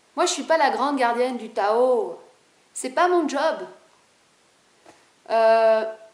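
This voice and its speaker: Very slow and high-pitched, a woman speaks with lively intonation and long, frequent pauses, her voice carrying audible room echo. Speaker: video blogger on spirituality. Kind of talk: casual monologue to camera. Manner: animated.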